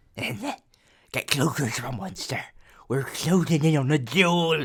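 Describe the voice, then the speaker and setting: Croaky and fairly slow, the speaker performs a put-on character voice. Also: man, fairly high pitch for a man. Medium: read story. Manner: refers to himself in the third person; mutters, broken simple grammar.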